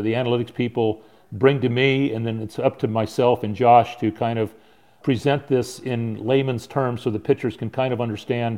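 A man with a Southern California accent, medium pitch, fairly even intonation and a moderate pace. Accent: American (Southern California). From San Diego, California. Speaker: baseball pitching coach. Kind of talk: casual chat.

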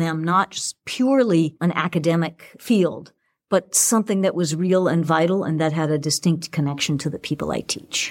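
A woman with an American accent uses an ordinary speaking voice at a moderate pace with ordinary pitch variation. The recording is very clean with a silent background, dry and close with no echo. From Boston, Massachusetts. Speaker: English professor and author. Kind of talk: interview conversation.

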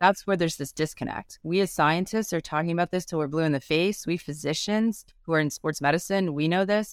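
A woman with an unremarkable speaking voice, fairly low pitch and ordinary pitch variation, at a fairly quick pace with hardly any pauses, on a very clean recording with a silent background. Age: 50s. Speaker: sports medicine physician and researcher. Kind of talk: interview.

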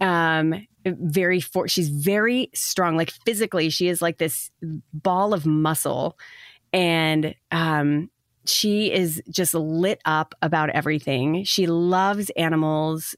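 A woman with a normal speaking voice has a fairly low pitch and fairly even intonation. Her loudness stays very even, in a dry, close sound with no echo. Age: 40s. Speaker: meditation podcast founder. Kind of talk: casual chat. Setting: video call.

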